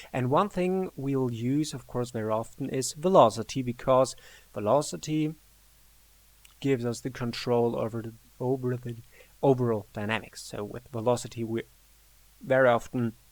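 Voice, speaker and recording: A man at medium pitch and moderate pace, with ordinary pitch variation and long, frequent pauses. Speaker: music composition tutor. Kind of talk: tutorial. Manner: halting, many fillers.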